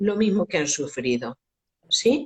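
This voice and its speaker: A woman's medium-pitched voice with vocal fry and very wide pitch swings, fairly slow, in a dry, close sound with no echo. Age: 60s. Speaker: education expert. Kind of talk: interview. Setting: Instagram live video call.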